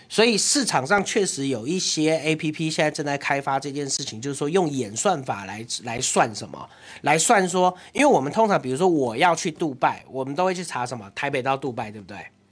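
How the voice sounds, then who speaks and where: Hardly pausing, a man with a fairly high pitch talks at a fairly quick pace in an ordinary speaking voice, his intonation lively and his loudness swinging widely. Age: young. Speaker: city councillor. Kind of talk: casual chat.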